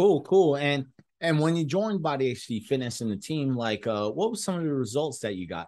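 At a moderate pace, a man talks at medium pitch with lively intonation and a slightly mellow tone.

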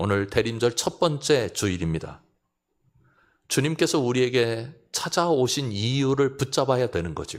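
An unremarkable speaking voice, a man at a medium pitch talks at a fairly slow pace with lively intonation in a very clean recording with a silent background. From South Korea, South Chungcheong (Seocheon). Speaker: pastor. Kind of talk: sermon.

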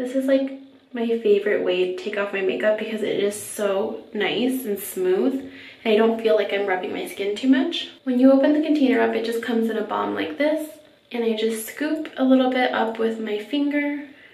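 A woman at a moderate pace with ordinary pitch variation and audible room echo. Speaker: beauty vlogger. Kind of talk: casual vlog chat. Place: bathroom. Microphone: phone near.

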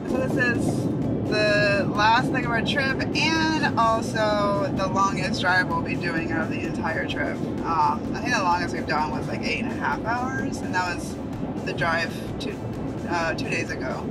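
Music plays in the background as the man talks at a fairly slow pace. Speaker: travel vlogger. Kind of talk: casual vlog chat. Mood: relaxed, mildly disappointed. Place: car. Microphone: phone near.

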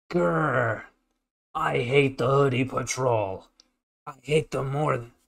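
A man puts on a raspy character voice at a medium pitch. He speaks fairly slowly, with long, frequent pauses. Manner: angry, disgusted.

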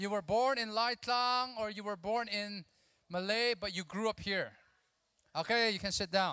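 Against a quiet background, a man with a high pitch projects his raised voice in a bright, sharp tone with ordinary pitch variation. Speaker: conference speaker. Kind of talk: sermon. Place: hall. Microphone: handheld.

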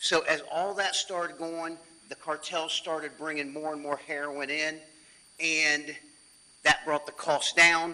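This man talks loudly at a high pitch, with monotone, flat intonation and a moderate pace. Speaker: chief deputy sheriff. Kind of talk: presentation to city council. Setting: city council meeting.

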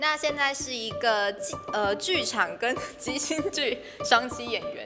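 Clear music plays in the background as a woman talks very slowly. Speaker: stage and improv actor. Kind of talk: self-introduction to camera. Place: studio. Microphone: handheld.

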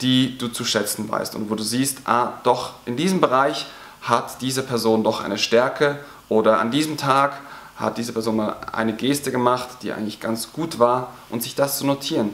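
A man talks at a moderate pace with fairly even intonation. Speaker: teacher coach. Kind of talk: advice talk to teachers. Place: classroom.

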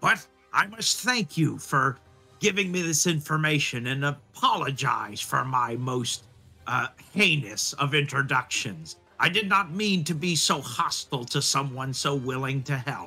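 Using a put-on character voice, a man speaks at a moderate pace and fairly high pitch, with faint music in the background. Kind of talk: theatrical, archaic heroic speech. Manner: pompous, formal, then apologetic.

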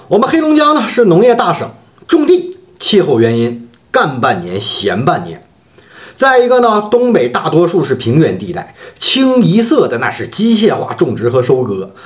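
Quiet background, moderate pace, a male speaker. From Harbin, northeast China. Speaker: vlogger. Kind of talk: casual talk to camera. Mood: wry, complaining about hometown economy. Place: home room. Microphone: phone near.

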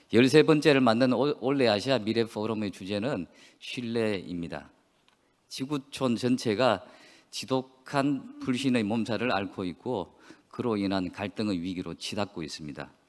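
The speaker goes at a fairly slow pace with lively intonation. The background is quiet. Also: man. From South Korea. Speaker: newspaper publisher. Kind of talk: opening speech. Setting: conference hall. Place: hall. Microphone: podium.

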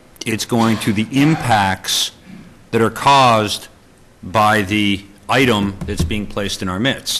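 A man's fairly low voice with music in the background. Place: meeting room.

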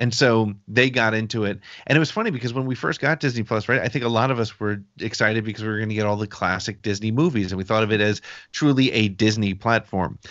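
A man with an American accent talks at a very fast pace, his medium pitch held in fairly even intonation over a quiet background. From United States. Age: 50s. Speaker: podcast host. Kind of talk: casual chat. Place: home room. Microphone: video call.

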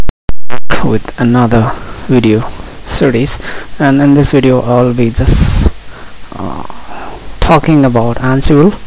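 With a non-native accent, a man speaks at a medium pitch and a fairly slow pace, using ordinary pitch variation and long, frequent pauses amid noticeable background noise. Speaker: DevOps tutorial maker. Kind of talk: tech tutorial explanation. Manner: hesitant, many fillers.

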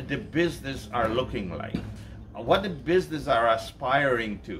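Fairly slow speech from a man amid noticeable background noise. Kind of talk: interview answer. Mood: calm, thoughtful. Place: garden. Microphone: camera far.

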